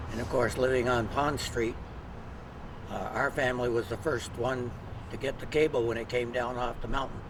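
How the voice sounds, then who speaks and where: A man speaks at a moderate pace, with long, frequent pauses and a monotone, flat intonation. Noticeable background noise and audible room echo fill the recording. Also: medium pitch for a man. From Vermont, Ludlow. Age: 70s. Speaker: retired teacher. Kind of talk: casual reminiscing conversation.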